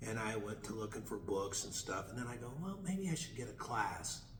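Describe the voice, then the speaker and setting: Room echo and noticeable background noise surround this recording. A man speaks with ordinary pitch variation. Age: 60s. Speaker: chiropractor and student in animal chiropractic course. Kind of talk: interview, telling his story. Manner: halting, many fillers and restarts.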